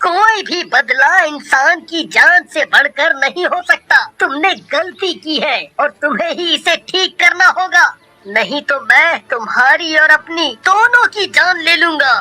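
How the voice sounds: A cartoonish character voice at an extremely high pitch moves at a fairly slow pace with hardly any pauses.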